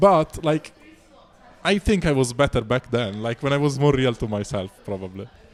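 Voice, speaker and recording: Someone with an Italian accent speaks at a moderate pace with lively intonation. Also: man, medium pitch for a man. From Italy. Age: 20s. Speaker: street musician. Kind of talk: casual chat.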